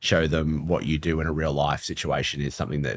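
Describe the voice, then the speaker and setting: With an Australian accent, a man speaks at a very fast pace in a very deep, low pitch. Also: very clean recording, silent background. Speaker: football club technology executive. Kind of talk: podcast interview. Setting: live event venue.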